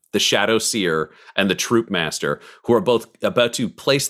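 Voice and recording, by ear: Someone is reading aloud in a natural voice. The intonation moves in a lively way.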